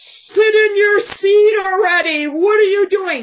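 In a put-on character voice, someone shouts at an extremely high pitch and a fairly slow pace. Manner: yelling, scolding.

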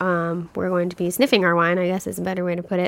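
The recording is very clean, with a silent background. A woman with a Kentucky accent speaks fairly quickly at a medium pitch. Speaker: wine podcast co-host. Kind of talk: casual chat. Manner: animated.

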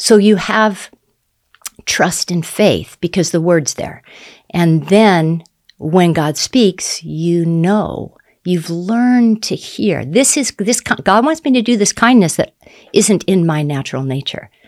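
Very slow, lively speech from a woman with a fairly low pitch. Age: 60s. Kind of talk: faith testimony interview.

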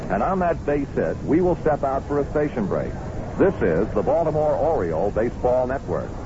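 With noticeable background noise behind him, a man talks at a moderate pace and a fairly high pitch, his intonation lively and his loudness very even. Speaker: radio play-by-play announcer. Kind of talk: live baseball play-by-play commentary. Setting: stadium broadcast booth. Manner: brisk, rising urgency calling a runner home on a base hit; measured, descriptive storyteller filling gaps with stats.

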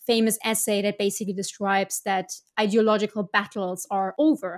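A woman with a German accent speaks at a fairly quick pace and a fairly high pitch. The recording is very clean and dry, close with no echo and a silent background. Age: 30s. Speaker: foreign policy analyst. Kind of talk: interview.

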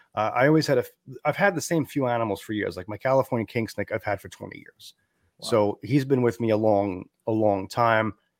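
A man with an ordinary speaking voice at medium pitch, fairly quick pace and ordinary pitch variation, on a very clean recording with a silent background and a dry, close sound with no echo. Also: big swings in loudness. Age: 40s. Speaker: amphibian podcast host and frog keeper. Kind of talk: casual interview.

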